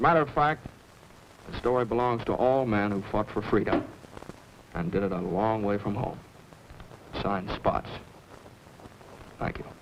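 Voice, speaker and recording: Amid noticeable background noise, a man talks at a moderate pace with fairly low pitch and ordinary pitch variation. His speech has long, frequent pauses. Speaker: actor; pilot. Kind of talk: documentary film introduction, reading a telegram.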